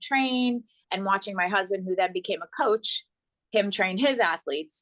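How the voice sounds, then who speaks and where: With a dry, close sound with no echo and a quiet background, a woman speaks at a fairly high pitch with ordinary pitch variation. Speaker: yoga coach. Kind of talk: interview. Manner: loud; animated.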